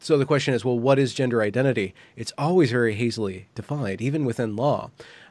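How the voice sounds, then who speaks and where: Using a plain, everyday voice, a man speaks at a fairly quick pace with medium pitch and ordinary pitch variation. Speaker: interviewer and commentator. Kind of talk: casual conversation. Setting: online video interview.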